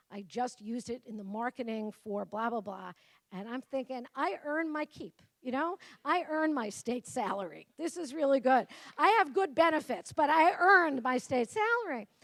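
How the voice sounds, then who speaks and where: A woman speaks in a high voice with a Brooklyn accent. Her pitch swings very widely. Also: moderate pace, big swings in loudness. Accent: New York (Brooklyn). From Brooklyn, New York. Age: 50s. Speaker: professor. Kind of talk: keynote speech.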